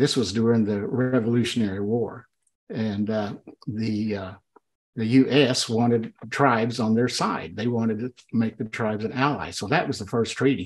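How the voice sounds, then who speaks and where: Speaking at a moderate pace, a man keeps a fairly even intonation. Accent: Oklahoma. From Oklahoma, US. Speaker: speaker. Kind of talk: casual chat. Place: office. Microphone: video call.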